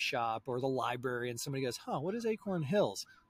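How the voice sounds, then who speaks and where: Lively intonation runs through this man's speech in an American accent. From US Southeast. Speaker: podcast host. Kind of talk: casual interview chat. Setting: recording outdoors. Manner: animated.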